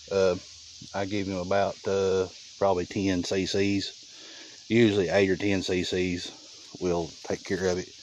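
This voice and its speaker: A man's very deep, low voice in a Southern US accent, flat and monotone, fairly slow, with long, frequent pauses. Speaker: trapper. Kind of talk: casual field narration. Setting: outdoors. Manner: quiet, speaking low.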